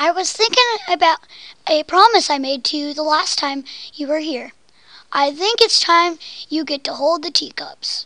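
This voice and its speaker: In a put-on character voice, the speaker talks at a moderate pace with a high pitch. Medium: read story. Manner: warm, gentle.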